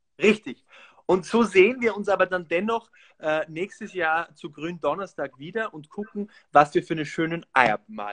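Pitched high, a man's voice moves with lively intonation and big swings in loudness. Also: moderate pace, quiet background. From Austria. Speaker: actor. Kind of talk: casual chat with craft demonstration. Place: home room. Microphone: video call.

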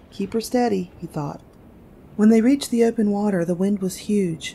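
A woman speaks in a calm, gentle tone. Her voice is somewhat breathy. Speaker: audiobook narrator. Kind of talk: story read-aloud. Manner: calm, gentle storytelling pace.

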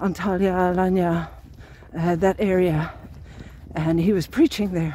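A woman speaks at a fairly slow pace in a dark, mellow, somewhat breathy tone, with a dry sound and no echo. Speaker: long-distance pilgrim vlogger. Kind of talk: casual vlog chat. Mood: reflective, grateful. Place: open country. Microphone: phone near.

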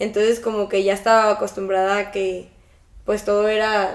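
Speaking with a Mexican accent, a woman delivers her words in a monotone, flat intonation. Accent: Mexican Spanish (Jalisco). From Mexico, Guadalajara. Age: 20s. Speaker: triathlete. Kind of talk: interview. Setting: at her home. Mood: relaxed, friendly. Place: home room.

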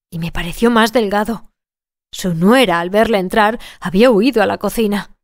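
On a very clean recording with a silent background, a woman talks at a moderate pace in a normal speaking voice of medium pitch with ordinary pitch variation. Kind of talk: literary audiobook narration. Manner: measured, even-paced storyteller delivery; shifts tone to voice each character's dialogue.

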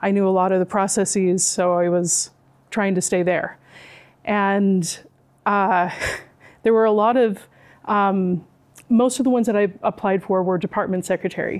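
A woman speaks at a moderate pace with fairly even intonation and very even loudness, leaving long, frequent pauses against a quiet background. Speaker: university department administrator; speaker. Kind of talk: personal talk to students. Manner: hesitant. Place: classroom.

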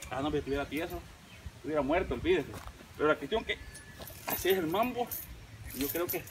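Over light background noise, a man with a Salvadoran accent talks at a very fast pace broken by long, frequent pauses. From El Salvador. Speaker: YouTube vlogger. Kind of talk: casual vlog narration. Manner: animated. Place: garden. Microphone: camera far.

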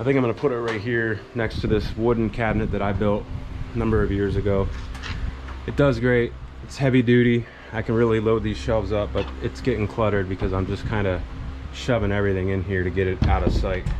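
A man with a fairly low pitch at a very fast pace, with noticeable background noise. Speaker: car hobby vlogger. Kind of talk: casual vlog chat. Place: garage. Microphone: phone near.

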